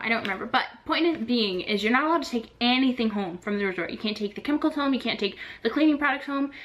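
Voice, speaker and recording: Against noticeable background noise, a woman with a fairly high pitch talks at a very fast pace with lively intonation. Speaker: vlogger, former theme park housekeeper. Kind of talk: casual vlog talk.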